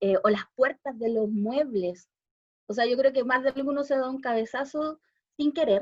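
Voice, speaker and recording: The sound is dry and close, with no echo. Speech moves at a fairly quick pace with ordinary pitch variation. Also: woman. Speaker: special education teacher, visual impairment expert. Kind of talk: talk at a panel discussion. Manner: fast.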